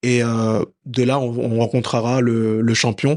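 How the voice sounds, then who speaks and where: This man's voice sits at a medium pitch, heard against a quiet background. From France, Paris. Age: 30s. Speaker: professional boxer. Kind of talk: interview. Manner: hesitant, many fillers and repetitions.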